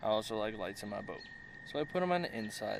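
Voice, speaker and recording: A man speaks fairly quickly, and the room echo is audible. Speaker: fishing vlogger. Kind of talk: casual vlog narration. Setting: outdoors in a boat at night.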